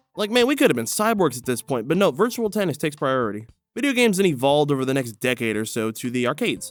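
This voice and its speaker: Music plays behind a man talking at a very fast pace. His intonation is lively. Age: 20s. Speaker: gaming video essayist. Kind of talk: scripted narration. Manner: casual, joking delivery.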